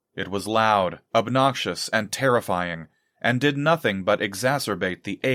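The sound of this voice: Over a quiet background, the reading voice is unforced.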